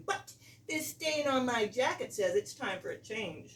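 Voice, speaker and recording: A woman uses a put-on character voice that is shrill and high-pitched. She goes at a moderate pace, her pitch swinging very widely. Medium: read story. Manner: indignant, boastful.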